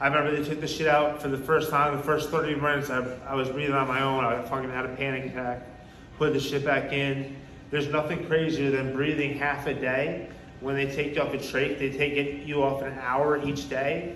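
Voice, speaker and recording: A man speaks in a New York accent, his fairly high voice flat and monotone. Room echo is audible along with noticeable background noise. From New York (Poughkeepsie). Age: 30s. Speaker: recovery speaker. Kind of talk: testimony. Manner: casual, halting with repetitions.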